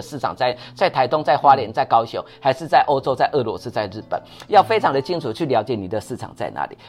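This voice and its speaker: Music plays in the background. A man talks very fast at a fairly high pitch, with very wide pitch swings. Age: 50s. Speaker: company CEO. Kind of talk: casual chat.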